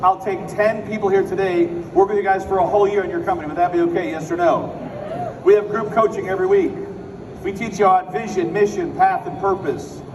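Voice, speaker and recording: Noticeable background noise and room echo surround a man's voice. He has an American accent and a high pitch, and he speaks at a fairly quick pace. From Chicago, US Midwest. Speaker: business speaker. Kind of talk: motivational speech. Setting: stage with audience. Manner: fast; animated.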